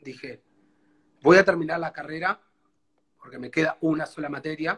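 The voice has ordinary pitch variation and a moderate pace, with a dry, close sound and no echo. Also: man. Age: 30s. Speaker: guest sharing life story. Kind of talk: life story interview. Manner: halting.

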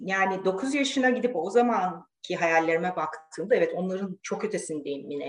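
A woman talks at a moderate pace in a normal speaking voice. Her medium pitch carries lively intonation. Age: 40s. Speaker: engineer and professor. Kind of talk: casual interview.

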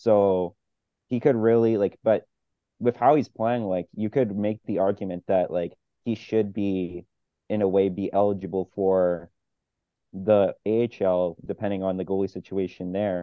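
The delivery comes at a fairly slow pace in an unremarkable speaking voice. Intonation stays fairly even. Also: man, fairly low pitch for a man. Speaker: podcast co-host. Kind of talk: casual sports podcast chat.

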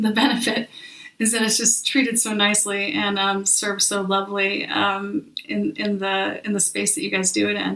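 Over noticeable background noise, a woman talks at a medium pitch in an American accent. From Minnesota / St. Louis, US Midwest. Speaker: podcast host. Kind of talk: casual interview chat.

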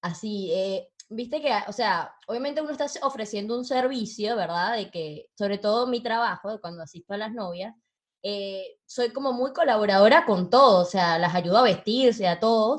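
A woman with a plain, everyday voice speaks at a moderate pace, her fairly high pitch carried by lively intonation. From Venezuela. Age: 20s. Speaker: event planner and podcast co-host. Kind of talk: casual chat.

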